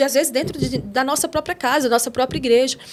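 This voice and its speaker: This woman has a high-pitched voice. She talks at a very fast pace. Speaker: missionary and theologian. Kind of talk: podcast interview.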